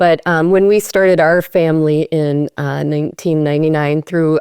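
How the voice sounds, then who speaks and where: Speaking with a Minnesota accent, a woman uses a fairly low pitch and fairly even intonation at a moderate pace. The very clean recording has a silent background and a dry, close sound with no echo. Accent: Minnesotan. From Minnesota, US. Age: 50s. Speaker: parenting trainer and adoptive parent. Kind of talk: podcast interview. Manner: hesitant, many fillers.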